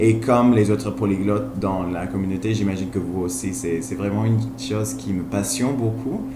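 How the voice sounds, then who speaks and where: Speaking in a Spanish accent at a moderate pace with hardly any pauses, a man with a fairly low voice and ordinary pitch variation is heard with audible room echo and noticeable background noise. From Colombia. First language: Spanish (speaking French). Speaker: language learner vlogger. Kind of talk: casual vlog monologue. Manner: halting, frequent hesitations and repetitions; enthusiastic.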